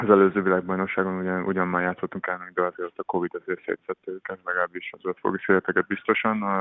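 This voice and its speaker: A man's very deep, low voice, very fast and monotone, with hardly any pauses and big swings in loudness. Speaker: professional handball player. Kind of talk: radio interview. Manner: halting, repeats words.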